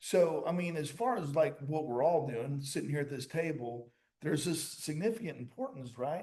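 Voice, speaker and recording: A man's somewhat breathy, fairly high voice with a dark, mellow tone and an American accent, lively intonation and a moderate pace. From Springfield, Missouri. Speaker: podcast host. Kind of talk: panel discussion.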